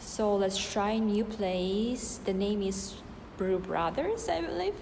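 Speaking very slowly with fairly even intonation, a woman is heard over noticeable background noise. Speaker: vlogger. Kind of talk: casual vlog chat. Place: street. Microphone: phone near.

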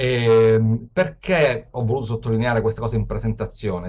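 A man is the one speaking. Behind him, the background is quiet. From Sicily, Palermo; Sicily. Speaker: open data expert; webinar presenter. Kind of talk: webinar lecture. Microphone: video call.

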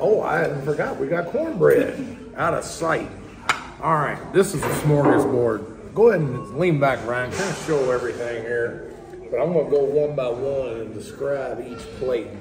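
This man talks at a moderate pace with lively intonation. Noticeable background noise runs underneath. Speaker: food reviewer. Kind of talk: casual food review commentary. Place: cafe.

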